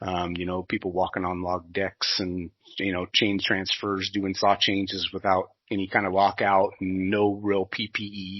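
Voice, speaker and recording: A man's fairly low, flat monotone in a Pacific Northwest accent, at a moderate pace. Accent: Pacific Northwest American. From US Pacific Northwest (southwest Washington). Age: 40s. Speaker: sawmill industry manager. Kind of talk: podcast interview. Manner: hesitant, many fillers and restarts.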